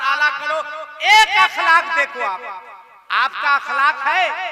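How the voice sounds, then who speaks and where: A man uses a raised, projected voice at an extremely high pitch with ordinary pitch variation, over noticeable background noise. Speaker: Islamic preacher. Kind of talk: religious sermon at a public gathering. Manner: humorous, rousing.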